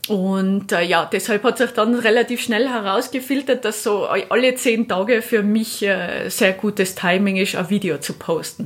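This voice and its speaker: A woman speaks at a fairly slow pace in a fairly high voice with ordinary pitch variation. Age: 30s. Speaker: moped traveller. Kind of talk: interview.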